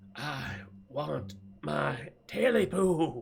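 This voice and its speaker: A man's hoarse, croaky put-on character voice at a medium pitch. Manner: creepy, demanding.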